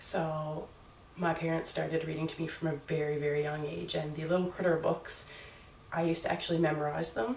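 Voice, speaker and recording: With a slight Newfoundland accent, a woman with a very deep, low voice talks at a fairly quick pace and fairly even intonation, amid noticeable background noise and audible room echo. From Newfoundland, Canada. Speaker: booktuber. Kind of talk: casual vlog talk. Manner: hesitant, with fillers.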